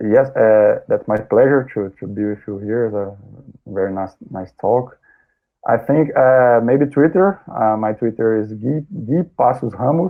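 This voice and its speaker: A man talks at a fairly slow pace. His pitch sits in the medium range. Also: ordinary pitch variation. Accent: Brazilian. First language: Portuguese. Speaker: sports scientist. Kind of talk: interview. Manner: halting, many repetitions.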